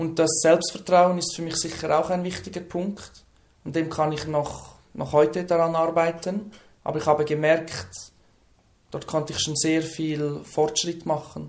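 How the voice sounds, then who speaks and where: A man with a Lucerne accent, fairly slow pace and monotone, flat intonation. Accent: Swiss German (Lucerne). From Switzerland, Lucerne. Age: 20s. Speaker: person who stutters, trainee social worker. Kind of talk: interview. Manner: few audible stutters.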